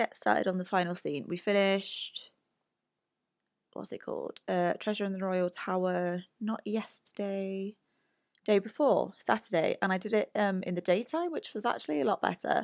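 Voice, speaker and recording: Moderate-paced speech with a British accent, in a dry, close sound with no echo. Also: woman. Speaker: video game streamer. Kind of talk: casual chat. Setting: live stream.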